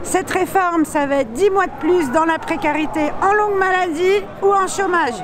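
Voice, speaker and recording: A woman with an extremely high pitch speaks at a moderate pace, with hardly any pauses and very even loudness. Noticeable background noise sits behind her. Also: ordinary pitch variation. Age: 60s. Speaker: protester. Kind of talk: street interview. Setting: outdoors at a street protest. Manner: animated.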